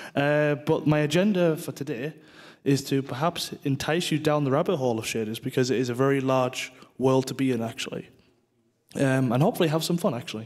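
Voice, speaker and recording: A man with a northeast English accent talks at a fairly quick pace in a fairly high voice with ordinary pitch variation. The recording is very clean, with a silent background. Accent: northeast England (Teesside). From northeast England, Middlesbrough. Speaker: game technical artist, conference speaker. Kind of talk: conference talk; casual interview chat.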